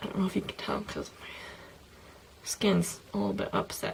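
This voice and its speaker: A woman with a medium-pitched voice talks at a moderate pace over noticeable background noise. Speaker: beauty vlogger. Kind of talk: casual product review vlog. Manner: filler-heavy, lots of um and like.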